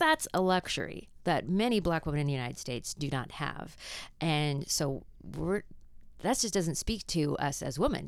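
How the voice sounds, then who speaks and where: On a very clean recording with a silent background, a woman with a very deep, low pitch and vocal fry speaks with lively intonation. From Canada. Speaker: theologian and professor, practical theology researcher. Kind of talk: interview discussion, explanatory.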